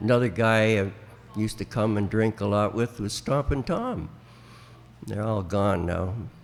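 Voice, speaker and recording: Speaking at a moderate pace with an Ontario accent, a man has a fairly low pitch and ordinary pitch variation. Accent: Canadian (Ontario). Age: 80s+. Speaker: veteran country musician. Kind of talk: interview storytelling. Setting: flea market. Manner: halting.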